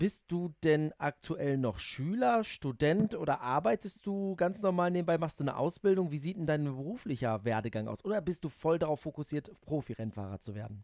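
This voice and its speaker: The sound is dry and close, with no echo. A man with a fairly high pitch talks at a moderate pace, his voice swinging very widely in pitch. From Netherlands. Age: 30s. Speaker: motorsport journalist and podcast host. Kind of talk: casual interview.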